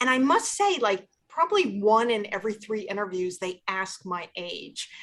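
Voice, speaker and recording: A normal speaking voice with lively intonation moves at a moderate pace. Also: woman, medium pitch for a woman. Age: 60s. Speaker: higher education financing expert. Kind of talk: panel discussion.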